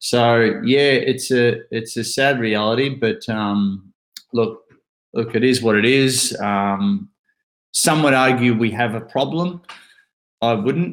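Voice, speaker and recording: Speaking very slowly, a man with an Australian accent uses a medium pitch and ordinary pitch variation. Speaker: author and bucket list speaker. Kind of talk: casual chat.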